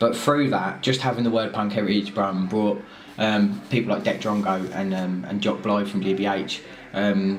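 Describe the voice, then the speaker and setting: With a southern English accent, a man speaks at a moderate pace in a fairly low pitch, with noticeable background noise and audible room echo. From southern England. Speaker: arts organizer. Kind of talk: documentary interview. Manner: animated.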